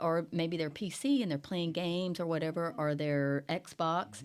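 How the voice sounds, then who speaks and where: Speaking at a fairly slow pace, a woman has an ordinary speaking voice with a fairly low pitch. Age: 60s. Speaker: newspaper editor and podcast host. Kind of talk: casual podcast chat.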